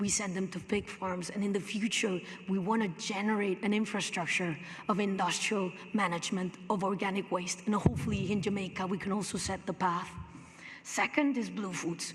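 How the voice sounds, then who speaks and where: Room echo is audible as a woman speaks fairly quickly. Her pitch sits in the medium range. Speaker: hotel company sustainability executive. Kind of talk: conference presentation.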